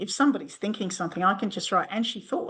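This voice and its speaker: Bright and sharp in tone, a woman speaks with an Australian accent. Her intonation is lively. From Western Sydney, Australia. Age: 60s. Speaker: doctor and novelist. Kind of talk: interview answer.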